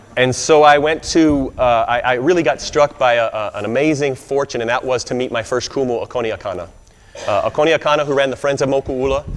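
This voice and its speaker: A man speaks at a very fast pace with an American accent, his pitch medium and his intonation fairly even. Noticeable background noise runs behind him. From US South, Arkansas. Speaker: Hawaiian studies scholar and speaker. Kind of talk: speech to an audience. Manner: halting, many fillers.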